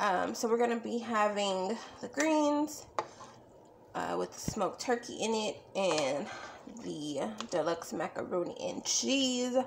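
The speech moves at a fairly slow pace against light background noise. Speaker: home cook vlogger. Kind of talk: casual cooking vlog chat. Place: kitchen. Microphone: phone near.

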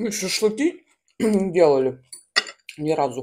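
Light background noise lies behind a dark, mellow tone. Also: woman. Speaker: vlogger. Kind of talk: casual vlog chat. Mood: relaxed, chatty. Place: home room. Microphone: phone near.

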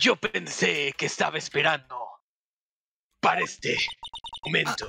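A raspy, put-on character voice comes at a moderate pace over light background noise, with a dry, close sound with no echo. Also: man. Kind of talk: character line reading, playful Spanish dub. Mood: amused, smiling.

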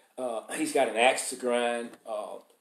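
A man is talking. He has a Southern US accent. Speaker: news commentator. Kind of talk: news commentary monologue. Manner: opinionated, informal.

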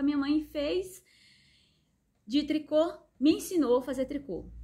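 Over a quiet background, a woman with a dark, mellow tone speaks at a very slow pace. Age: 40s. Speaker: craft artisan and workshop owner. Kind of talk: personal story monologue to viewers. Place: workshop. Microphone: phone near.

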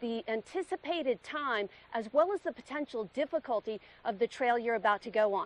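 A woman's voice with lively intonation and a dry sound with no echo. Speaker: TV morning show host. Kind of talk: live outdoor TV report. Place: forest. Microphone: phone near.

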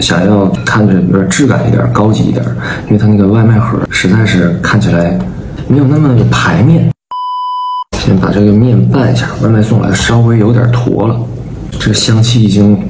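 Over noticeable background noise, a man speaks at a moderate pace with long, frequent pauses. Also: fairly low pitch for a man. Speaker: vlogger. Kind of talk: casual vlog chat. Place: home room. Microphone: phone near.

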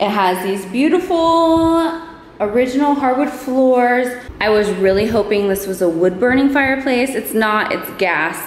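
A woman's high voice with lively intonation at a fairly slow pace, over light background noise and audible room echo. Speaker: homeowner vlogger. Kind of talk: casual vlog chat. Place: empty room. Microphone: phone near.

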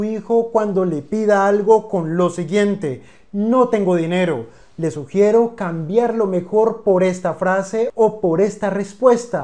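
A man's high-pitched voice at a very slow pace, dark and mellow in tone, with ordinary pitch variation and a quiet background. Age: 30s. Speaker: finance educator. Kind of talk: scripted narration. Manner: formal. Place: home room. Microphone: lapel.

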